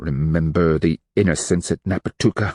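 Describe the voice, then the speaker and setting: Growling and hissing, a man does a put-on character voice with a very deep, low pitch. He sounds furious and keeps a moderate pace. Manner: hissed, through gritted teeth, furious.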